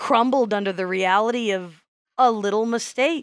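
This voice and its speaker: A woman's medium-pitched voice with a Midwestern American accent, fairly slow, with ordinary pitch variation, in a dry, close sound with no echo and a very clean recording over a silent background. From US Midwest. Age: 40s. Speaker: podcast co-host and teacher. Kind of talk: casual chat.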